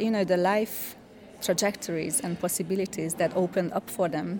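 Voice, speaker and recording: Against noticeable background noise, a woman talks at a moderate pace and fairly low pitch with ordinary pitch variation. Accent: Hungarian. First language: Hungarian (speaking German). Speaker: cultural scholar. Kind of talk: interview.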